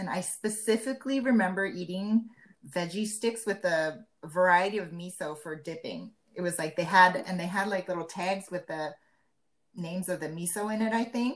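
At a moderate pace, an unremarkable speaking voice with pitch that varies in an ordinary way. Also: woman, medium pitch for a woman. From Japan, Malaysia and Seattle. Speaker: podcast co-host, school kitchen worker. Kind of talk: casual chat.

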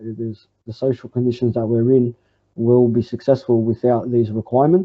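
Here a man with an Australian accent talks at a medium pitch. His moderate pace carries a monotone, flat intonation. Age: 20s. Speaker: communist party organizer. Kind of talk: interview answer. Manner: halting, many fillers.

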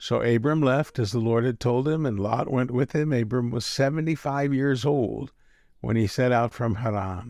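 An unremarkable speaking voice, a man's at medium pitch with an American accent, talks at a moderate pace with ordinary pitch variation and very even loudness against a quiet background. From Texas. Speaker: pastor. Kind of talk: audiobook-style scripture reading, solemn and measured. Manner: warm, gently pastoral.

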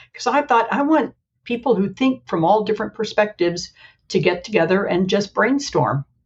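With an American accent, a woman talks at a fairly quick pace with lively intonation. Her fairly high voice is somewhat breathy. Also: very even loudness. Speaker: special education consultant. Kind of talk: casual chat.

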